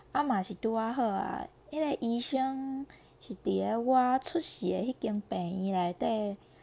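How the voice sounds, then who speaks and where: At a very slow pace, a woman with a fairly high, dark, mellow voice speaks in a Taiwanese accent with ordinary pitch variation. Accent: Taiwanese Mandarin. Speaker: podcaster. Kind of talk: personal monologue. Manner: halting, many fillers.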